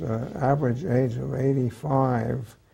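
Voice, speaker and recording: A man with a medium-pitched voice talks at a very slow pace over noticeable background noise. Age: 90s. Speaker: retired psychiatrist and author. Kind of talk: interview. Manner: halting, many hesitations.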